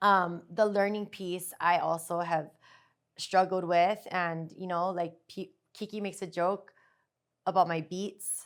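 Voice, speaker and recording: A woman speaks at a medium pitch in a flat monotone, her loudness swinging widely, on a very clean recording with a silent background. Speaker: podcast co-host, therapist. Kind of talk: casual chat. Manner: fast.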